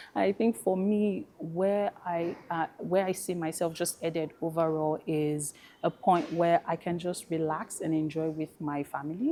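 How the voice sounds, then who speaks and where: A woman speaks at a fairly slow pace with a Nigerian accent. Her tone is dark and mellow. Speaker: fintech professional and fashion brand founder. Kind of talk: panel discussion.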